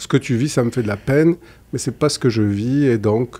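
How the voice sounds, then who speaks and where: A man in a southern French accent, with a dark, mellow tone and ordinary pitch variation. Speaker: psychologist; guest. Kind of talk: interview conversation. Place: studio. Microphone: studio mic.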